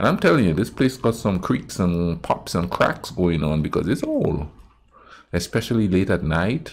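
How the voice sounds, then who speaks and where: A man speaks with a very deep, low pitch. His intonation is lively. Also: moderate pace. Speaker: reaction video host. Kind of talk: casual reaction commentary. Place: home room.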